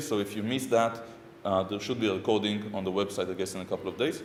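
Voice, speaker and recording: A man speaks with an Israeli accent. There is audible room echo. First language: Hebrew. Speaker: software architect and conference speaker. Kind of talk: conference talk. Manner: hesitant, many fillers.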